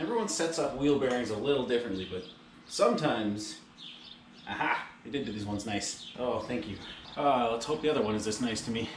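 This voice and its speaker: This man talks fairly quickly, and his pitch variation is ordinary. There is noticeable background noise behind him. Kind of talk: casual tutorial commentary. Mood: playful, upbeat. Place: garage. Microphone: camera far.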